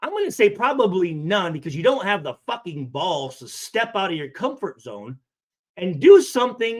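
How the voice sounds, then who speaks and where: Speaking at a moderate pace, a man with a high-pitched voice sounds angry and animated. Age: 40s. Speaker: live streamer reacting to comments. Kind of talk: reading and reacting to comments. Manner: angry and animated, lots of swearing.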